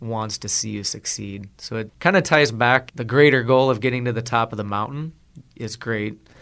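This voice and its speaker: This man talks at a fairly quick pace with an American accent. His pitch is medium, with ordinary variation. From South Dakota, US. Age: 30s. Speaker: farmer. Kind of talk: interview. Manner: talkative.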